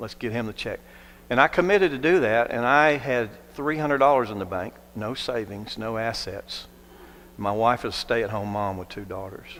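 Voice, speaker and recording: A man speaks at a moderate pace in a plain, everyday voice with an American accent. His pitch is medium, with ordinary variation and big swings in loudness. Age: 60s. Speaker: non-profit leader. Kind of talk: testimony.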